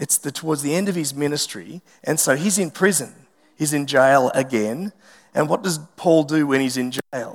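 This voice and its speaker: With an Australian accent, a man with a fairly high pitch talks at a moderate pace with ordinary pitch variation. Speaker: pastor. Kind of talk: sermon. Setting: church.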